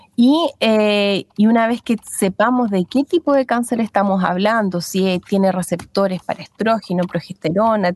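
A woman speaks at a fairly slow pace in a medium pitch with lively intonation. The sound is dry and close, with no echo. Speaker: midwife. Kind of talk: interview explaining health topic. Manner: halting.

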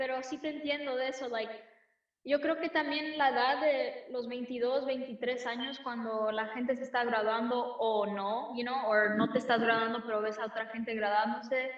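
A woman with an American accent speaks in a high voice. Her intonation stays fairly even, and her pace is moderate. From United States, Mexican-American. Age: 20s. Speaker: singer-songwriter. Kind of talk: casual interview chat.

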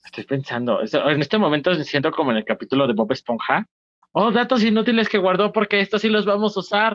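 In a Mexican accent, the speaker talks at a very fast pace with lively intonation. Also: man, high pitch for a man. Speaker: podcast co-host and stand-up comedian. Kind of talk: casual chat.

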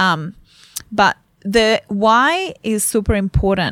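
In a very clean recording with a silent background and a dry, close sound without echo, a woman speaks in a fairly high voice with an Italian accent. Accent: Italian accent, noticeable. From Italy. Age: 20s. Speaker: clinical nutritionist. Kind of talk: casual interview chat. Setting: studio.

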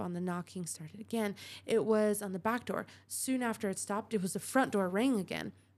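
Ordinary pitch variation in plain reading aloud

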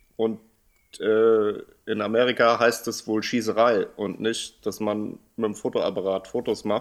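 The recording is very clean, with a silent background. A man speaks fairly slowly at a medium pitch, his intonation flat and monotone. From Hanau-Steinheim, Hesse, Germany. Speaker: podcast co-host. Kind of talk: casual chat.

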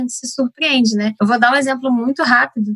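Recorded with a dry, close sound and no echo, a woman has an unremarkable speaking voice, fairly high in pitch, with ordinary pitch variation. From Rio de Janeiro. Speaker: family doctor. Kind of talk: casual discussion.

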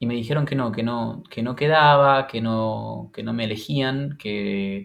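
On a very clean recording with a silent background, a man talks fairly slowly. His pitch is medium, with ordinary variation. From Argentina, Santa Fe. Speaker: singer, actor, teacher. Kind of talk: interview. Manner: halting, with many fillers.

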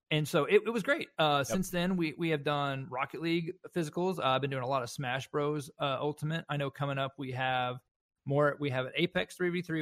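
Captured in a very clean recording with a silent background and a dry, close sound with no echo, a man speaks fairly quickly at a fairly high pitch with ordinary pitch variation. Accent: Southern US. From US South. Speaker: esports event organizer. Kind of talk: casual chat.

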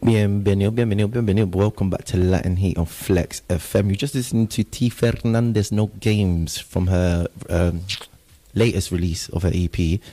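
At a moderate pace, a man with a fairly low voice and a dark, mellow tone speaks with ordinary pitch variation. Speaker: radio host. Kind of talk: casual chat. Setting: studio. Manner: animated.

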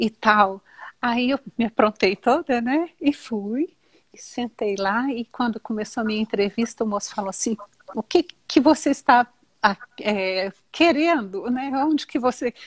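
Recorded dry and close with no echo, a woman speaks at a fairly slow pace with a fairly high pitch and ordinary pitch variation. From Brazil. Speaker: teacher. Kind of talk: casual chat.

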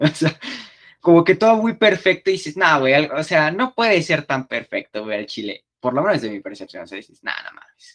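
In a slight Mexico City accent, a man speaks fairly quickly at a high pitch with very wide pitch swings and big swings in loudness, in a dry, close sound with no echo. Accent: slight Mexico City sing-song. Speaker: podcast host. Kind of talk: casual chat.

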